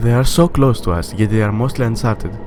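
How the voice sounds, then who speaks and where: A man with a non-native accent, noticeable background noise behind him. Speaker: educational YouTuber. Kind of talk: educational documentary narration.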